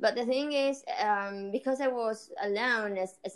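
This woman talks at a moderate pace with an ordinary amount of pitch variation and a Spanish accent. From Argentina. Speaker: singer-songwriter and doctor. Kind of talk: casual interview chat.

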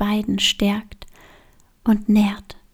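A woman's gentle, soothing tone, fairly high and somewhat breathy, on a very clean recording with a silent background. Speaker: yoga teacher and podcast host. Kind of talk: guided meditation. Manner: slow, soothing, calm; soft-spoken, gentle, with long pauses.

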